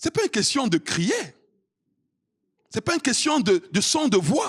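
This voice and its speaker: Extremely high-pitched male voice, fairly slow pace, very wide pitch swings, dry close sound without echo. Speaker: pastor. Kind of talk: sermon. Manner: loud.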